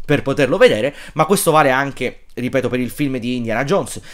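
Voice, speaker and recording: At a fairly quick pace, a man speaks in a medium-pitched voice. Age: 30s. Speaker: film YouTuber; film commentator. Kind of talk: casual monologue. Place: home room. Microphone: phone near.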